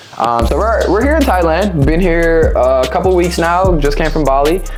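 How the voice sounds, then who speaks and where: Backed by music and audible room echo, a man talks at a fairly quick pace. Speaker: fitness coach and entrepreneur. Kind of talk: vlog-style tutorial. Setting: indoors, no air conditioning. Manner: fast; occasional stutter.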